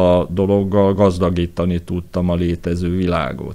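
Over noticeable background noise, a man speaks fairly slowly in a very deep, low voice with monotone, flat intonation. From Hungary, Pécs. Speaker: architect and set designer. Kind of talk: interview.

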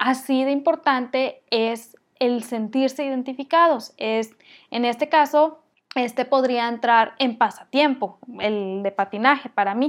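A woman speaks slowly-ish, at a fairly slow pace, with a high pitch and ordinary pitch variation. The recording is very clean, with a silent background. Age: 30s. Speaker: online business podcast host. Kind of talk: solo podcast tutorial. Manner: conversational.

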